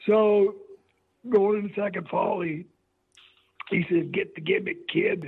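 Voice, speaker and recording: With long, frequent pauses, a man speaks fairly slowly in a high pitch and lively intonation. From Missouri, St. Joseph. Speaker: retired pro wrestler. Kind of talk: interview.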